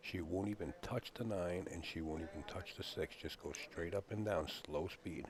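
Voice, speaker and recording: A man speaks with a very deep, low pitch and ordinary pitch variation at a moderate pace. He leaves hardly any pauses, and there is noticeable background noise. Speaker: pool commentator. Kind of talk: live commentary. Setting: billiards hall commentary booth.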